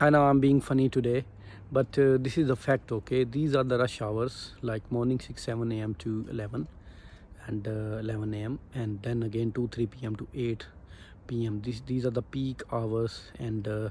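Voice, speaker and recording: A somewhat breathy man speaks at a moderate pace with fairly even intonation, the sound dry with no echo over light background noise. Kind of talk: casual vlog chat. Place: street. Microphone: phone near.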